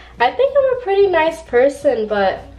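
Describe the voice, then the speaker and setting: Noticeable background noise surrounds a woman speaking with an American accent. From Riverside, California. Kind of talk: casual talk to camera. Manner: mumbling.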